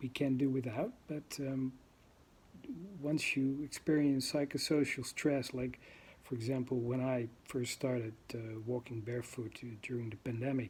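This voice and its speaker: A man with a Dutch accent sounds somewhat breathy and uses fairly even intonation. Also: medium pitch for a man, moderate pace. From Netherlands. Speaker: vlogger. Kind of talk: casual monologue. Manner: halting, many fillers.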